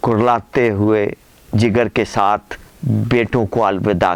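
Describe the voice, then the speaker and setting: In a plain, everyday voice, a man speaks at a fairly low pitch. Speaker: columnist, poet, radio voice and vlogger. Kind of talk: letter reading, dramatic storytelling.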